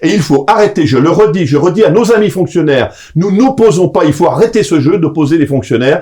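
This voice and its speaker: This man's voice sits high for a man, with lively intonation, very even loudness and a fairly quick pace. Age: 60s. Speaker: association president and political lobbyist. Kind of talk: interview. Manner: hesitant, many filler sounds.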